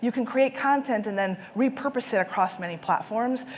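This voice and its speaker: Against noticeable background noise, a woman speaks at a high pitch with lively intonation and an enthusiastic tone. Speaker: conference speaker on sales and marketing. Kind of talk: conference presentation. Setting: stage with live and virtual audience. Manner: fast.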